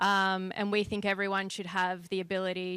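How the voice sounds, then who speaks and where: Recorded dry and close with no echo against a silent background in a very clean recording, a woman with an Australian accent speaks at a moderate pace in a bright, sharp tone. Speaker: company partnerships lead and juror. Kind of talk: public welcome speech. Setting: event with live audience.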